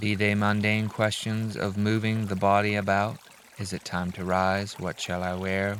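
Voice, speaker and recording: A man's fairly low voice, fairly slow and flat in a monotone, calm and soothing in tone, over noticeable background noise. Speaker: reader of relaxation videos. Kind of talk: reading aloud. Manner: calm, soothing.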